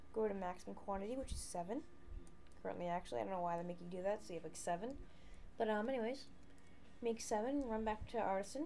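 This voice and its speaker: A woman at medium pitch talks very fast with lively intonation, long, frequent pauses and audible room echo. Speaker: game walkthrough narrator. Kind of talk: tutorial. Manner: halting.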